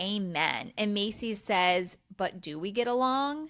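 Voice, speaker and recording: In a Pennsylvania accent, a woman talks with lively intonation. Her pitch is fairly high. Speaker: podcast co-host. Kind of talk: casual chat, TV recap.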